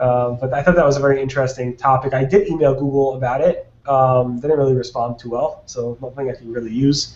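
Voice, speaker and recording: At a very fast pace with hardly any pauses, a man speaks in a medium-pitched voice with fairly even intonation. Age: 30s. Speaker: SEO webinar host. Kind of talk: casual panel discussion. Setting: video call.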